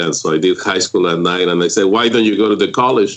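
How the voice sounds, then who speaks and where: A man with a Spanish accent talks at a very fast pace. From Mexico, Michoacán. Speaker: group home owner and real estate investor. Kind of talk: interview.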